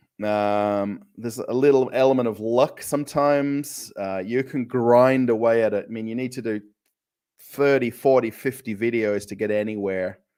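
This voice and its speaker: A man with an Australian accent, a dark, mellow tone, medium pitch, fairly even intonation and a moderate pace. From Australia, Perth. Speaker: travel vlogger. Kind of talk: live stream chat. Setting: home kitchen. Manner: casual, hesitant with fillers.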